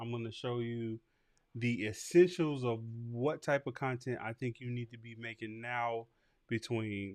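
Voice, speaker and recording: Against a quiet background, a man with an unremarkable speaking voice talks at a fairly slow pace in a medium pitch, with fairly even intonation. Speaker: barbering podcast host teaching content creation. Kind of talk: livestream tutorial. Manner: casual with fillers and repetitions.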